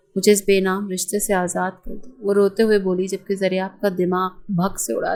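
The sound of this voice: What we hear is an unforced reading voice.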